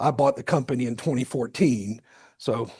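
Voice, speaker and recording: Against a quiet background, a somewhat breathy voice speaks at a moderate pace with ordinary pitch variation. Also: man. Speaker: business owner, retired Air Force officer, guest lecturer. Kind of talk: guest lecture. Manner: conversational, informal.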